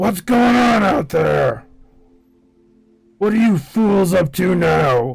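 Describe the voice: Putting on a gruff, raspy character voice, a man speaks very slowly at a high pitch with lively intonation. Long pauses break up his speech often. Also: very even loudness.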